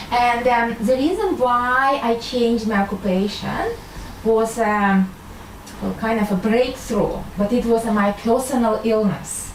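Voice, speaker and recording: A woman with a Russian accent speaks at a fairly slow pace, with ordinary pitch variation and very even loudness. Noticeable background noise and audible room echo are present. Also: fairly high pitch for a woman. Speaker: medical doctor and intuitive healer. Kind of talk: talk to an audience. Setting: live audience. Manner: hesitant, many fillers.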